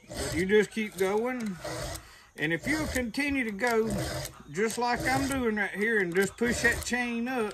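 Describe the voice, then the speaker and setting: A man speaks at a fairly slow pace in a high voice, with ordinary pitch variation. Noticeable background noise runs underneath. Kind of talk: tutorial. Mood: relaxed, folksy. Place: open country. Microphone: camera far.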